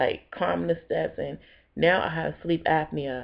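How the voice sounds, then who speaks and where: A woman's very deep, low voice at a moderate pace. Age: 30s. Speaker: vlogger. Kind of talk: personal testimony video. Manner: casual, conversational.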